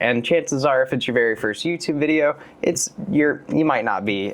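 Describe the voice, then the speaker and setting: With music playing behind him, a man talks in a relaxed tone at a fairly high pitch, his pitch varying in an ordinary way. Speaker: YouTube video creator giving a tutorial. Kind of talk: casual instructional talk to camera. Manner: relaxed, conversational.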